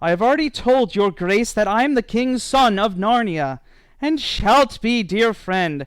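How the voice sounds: Someone reads in a natural voice.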